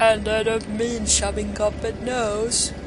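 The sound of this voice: Delivered at a fairly slow pace, a put-on character voice plays against loud background noise.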